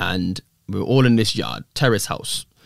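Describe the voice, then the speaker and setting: A man's voice marked by vocal fry and ordinary pitch variation. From England, Coventry. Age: 30s. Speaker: fitness and personal finance influencer. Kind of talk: casual chat. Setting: studio.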